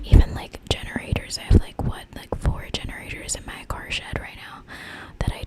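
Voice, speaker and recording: A woman whispers. Noticeable background noise runs under her voice. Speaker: ASMR content creator. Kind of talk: ASMR gameplay showcase. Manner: soft-spoken, whispered.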